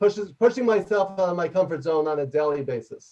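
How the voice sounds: A loud man's voice in a New York accent, fairly high in pitch with a slightly mellow tone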